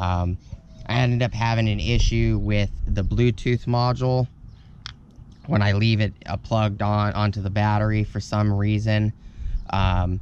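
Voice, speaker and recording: There is light background noise and a dry sound with no echo as a man talks slowly-ish, fairly low and monotone, with flat intonation at a fairly slow pace. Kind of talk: casual vlog tutorial. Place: street. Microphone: phone near.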